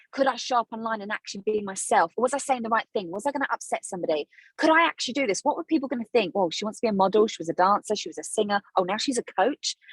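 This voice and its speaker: Talking very fast with a South London accent, a woman uses an animated tone and lively intonation, the sound dry and close with no echo. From South London, England. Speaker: business coach, former dancer. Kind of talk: podcast interview.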